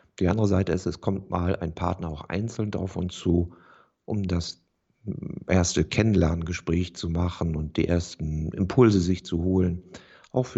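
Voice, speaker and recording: Somewhat breathy, a man talks at a moderate pace with a very deep, low pitch. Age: 50s. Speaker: real estate agent. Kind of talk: interview. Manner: formal.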